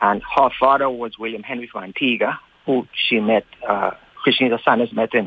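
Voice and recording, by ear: Speaking at a moderate pace, a man has fairly low pitch, fairly even intonation, vocal fry and a slightly husky edge.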